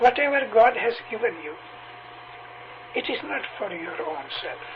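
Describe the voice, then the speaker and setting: This man's voice sits at an extremely high pitch and makes very wide pitch swings, with big swings in loudness. He talks at a fairly slow pace over noticeable background noise. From Punjab, India (Amritsar); later lived in Tanzania. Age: 70s. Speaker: religious preacher (missionary). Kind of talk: interview. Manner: hesitant, with frequent fillers.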